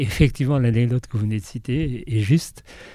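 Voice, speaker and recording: A man speaks at a moderate pace, his pitch varying in an ordinary way. The voice sounds somewhat breathy, with a dark, mellow tone. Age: 70s. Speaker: film production designer. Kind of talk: interview.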